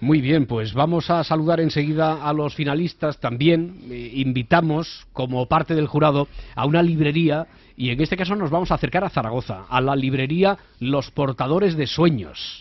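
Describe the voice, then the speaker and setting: With an ordinary speaking voice, the speaker talks at a moderate pace with ordinary pitch variation. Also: man, fairly high pitch for a man. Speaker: radio host. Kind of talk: radio magazine show.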